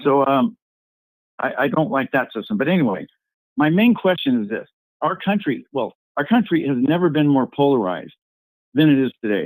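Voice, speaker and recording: With long, frequent pauses, a man speaks in a fairly high pitch that swings very widely. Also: moderate pace. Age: 70s. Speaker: caller on a congressman's conference call. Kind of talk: question from a caller. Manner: halting.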